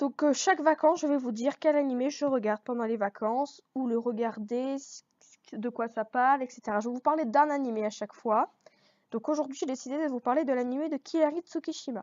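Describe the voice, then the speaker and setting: A woman speaks at a fairly quick pace in a high voice. Her pitch variation is ordinary. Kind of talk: casual talk to camera. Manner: hesitant, searching for words.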